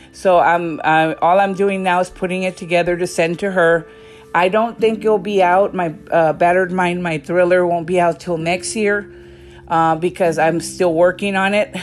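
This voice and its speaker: Backed by music, a woman with fairly low pitch speaks at a moderate pace, her intonation fairly even. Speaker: podcast host. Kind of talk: casual monologue. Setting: at home, walking around house. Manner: halting.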